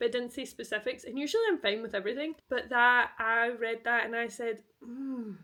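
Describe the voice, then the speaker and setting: Bright and sharp in tone, a woman with a Scottish accent speaks at a fairly high pitch and a moderate pace. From Scotland. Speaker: post-graduate student. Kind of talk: casual talk to camera, reading vlog.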